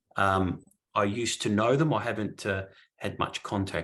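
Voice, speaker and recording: Over a quiet background, a man with an Australian accent speaks at a fairly low pitch. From southern Australia, country area. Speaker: guest speaker on spiritual teachings. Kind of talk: Q&A discussion.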